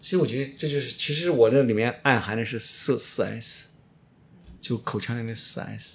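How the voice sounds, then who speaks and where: A man with a normal speaking voice at medium pitch, moderate pace and ordinary pitch variation, in a very clean recording with a silent background. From China, Shaanxi. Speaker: orthodontist. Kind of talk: interview.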